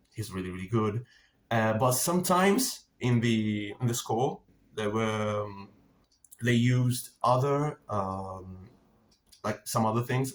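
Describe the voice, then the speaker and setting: A man speaks with an Italian accent at medium pitch. He keeps a fairly slow pace. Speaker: film and TV reviewer. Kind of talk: casual monologue review. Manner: halting, many fillers and repetitions.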